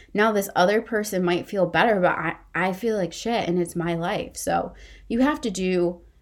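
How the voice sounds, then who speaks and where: A woman with an ordinary speaking voice talks at a moderate pace, her medium pitch showing ordinary variation. The recording is very clean against a silent background. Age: 30s. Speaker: podcast host. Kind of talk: solo monologue podcast.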